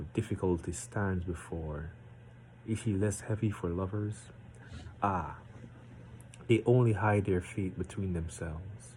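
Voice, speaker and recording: A man with a very deep, low pitch and a dark, mellow tone speaks at a fairly slow pace, somewhat breathy, with ordinary pitch variation. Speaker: amateur poetry reader. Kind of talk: reading aloud; casual chat. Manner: deliberately slowed.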